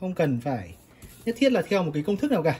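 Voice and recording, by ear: The voice has a slightly mellow tone with a slightly husky edge.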